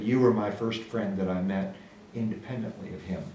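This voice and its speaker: Speech comes at a moderate pace with ordinary pitch variation. Audible room echo and noticeable background noise accompany it. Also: man. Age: young. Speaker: guest, longtime friend of the host. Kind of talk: casual chat.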